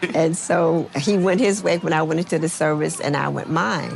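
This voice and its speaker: Speaking with an American accent, a woman uses a very deep, low pitch over noticeable background noise. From US Midwest, Chicago. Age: 70s. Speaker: retired army veteran. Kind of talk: interview testimony.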